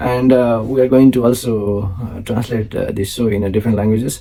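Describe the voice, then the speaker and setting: At a moderate pace and medium pitch, a man with an Indian accent speaks with ordinary pitch variation over noticeable background noise. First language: Maithili. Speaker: finance show host. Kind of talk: solo talk to camera. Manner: halting, many fillers.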